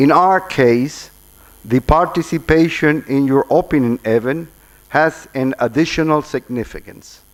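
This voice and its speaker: A man with a Spanish accent, fairly high in pitch, fairly slow, with ordinary pitch variation. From Cuba. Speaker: ambassador. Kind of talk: formal address; reading aloud. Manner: halting.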